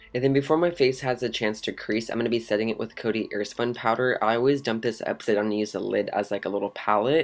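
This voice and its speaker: A man at medium pitch in an upbeat tone, very fast pace and hardly any pauses. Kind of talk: makeup tutorial voice-over. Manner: upbeat, casual.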